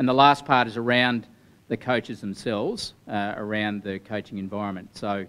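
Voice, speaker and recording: In a normal speaking voice, a man with a fairly low pitch talks at a moderate pace with fairly even intonation. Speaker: athletics coach. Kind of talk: group feedback summary. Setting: meeting room with audience. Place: meeting room. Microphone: handheld.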